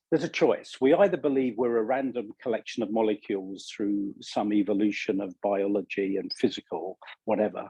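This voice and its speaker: Speaking at a moderate pace in a British accent, a man with a dark, mellow tone and ordinary pitch variation is heard in a dry, close sound with no echo. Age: 60s. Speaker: leadership coach and author. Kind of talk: interview.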